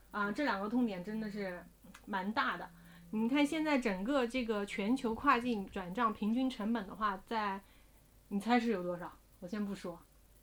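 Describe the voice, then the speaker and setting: A woman speaks with a fairly high pitch and ordinary pitch variation. She has an ordinary speaking voice. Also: moderate pace. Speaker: investment podcast co-host. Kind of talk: casual chat.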